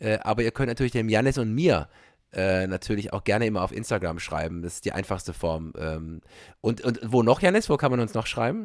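Over a very clean recording with a silent background, a man with a normal speaking voice talks at a fairly quick pace, with fairly low pitch and lively intonation. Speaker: podcast host, stage actor. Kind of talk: casual chat.

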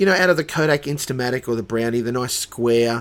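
A speaker with an Australian accent talks at a fairly quick pace. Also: man. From Dubbo, New South Wales, Australia. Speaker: church worker. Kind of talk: casual chat.

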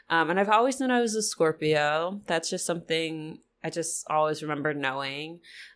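With lively intonation and a fairly low pitch, a woman speaks at a moderate pace in an unremarkable speaking voice. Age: 30s. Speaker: astrologer. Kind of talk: casual chat.

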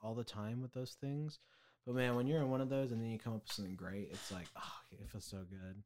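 Speaking at a fairly quick pace, a man with an ordinary speaking voice has a medium pitch and ordinary pitch variation. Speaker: podcast co-host. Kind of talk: casual chat.

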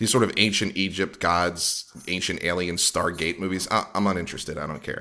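Speaking at a fairly quick pace with an American accent, a man with a very deep, low pitch has a bright, sharp tone and fairly even intonation. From US East Coast, Philadelphia. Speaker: podcast host. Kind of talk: casual chat.

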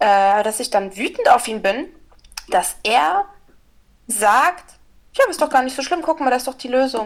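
A woman speaks in a high voice with very wide swings in pitch. Her pace is fairly slow, with long pauses that come often. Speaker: podcast co-host. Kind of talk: casual chat. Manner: halting, many filler sounds.

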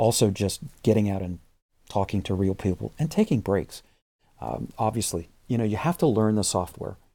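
Recorded very cleanly over a silent background, a man with an American accent speaks in a dark, mellow tone. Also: fairly low pitch for a man, ordinary pitch variation, moderate pace. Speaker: video tutorial instructor. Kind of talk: casual interview.

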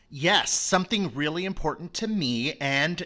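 This man, with an American accent, has a bright, sharp tone and lively intonation at a fairly slow pace. The recording is very clean, with a silent background. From Florida. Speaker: event producer and former performer. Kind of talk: casual chat.

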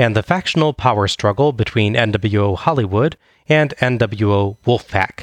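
In a normal speaking voice, a man talks at a moderate pace with medium pitch, ordinary pitch variation and very even loudness, the sound dry and close with no echo. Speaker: wrestling podcast host. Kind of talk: casual podcast chat, recap of wrestling event. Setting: in person recording.

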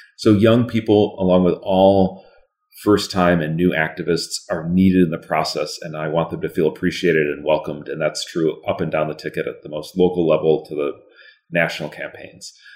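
The talking comes fairly quickly and carries an American accent. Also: man, very deep, low pitch for a man, fairly even intonation. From Minnesota, US Upper Midwest. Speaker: political candidate, lawyer. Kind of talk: interview.

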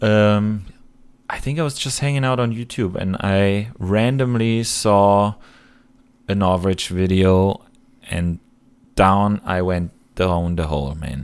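In a German accent, a man speaks at a fairly low pitch with long, frequent pauses, recorded very cleanly against a silent background. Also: ordinary pitch variation, fairly slow pace. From Germany, Cologne area. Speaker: airsoft YouTuber and photography student. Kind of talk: podcast interview.

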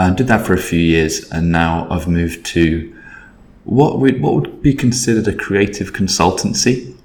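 Audible room echo surrounds a man with a very deep, low pitch and an English accent, who talks at a moderate pace with lively intonation. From Britain. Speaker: creative agency consultant. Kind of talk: casual interview. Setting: office.

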